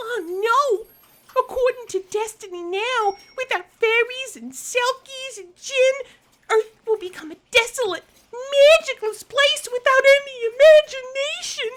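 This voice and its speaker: The put-on character voice is extremely high-pitched and delivered at a fairly slow pace. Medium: audio drama. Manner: excitable, breathless.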